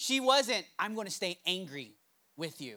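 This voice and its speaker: The voice is raised and projected, with a bright, sharp tone. It sounds animated while keeping a fairly slow pace. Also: man. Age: 30s. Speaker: pastor. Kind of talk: sermon.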